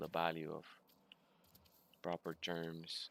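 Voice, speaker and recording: Very deep, low pitch from a man with a Spanish accent, at a very slow pace. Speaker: video game streamer. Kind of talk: live gameplay stream chat. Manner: halting, many fillers and repeats.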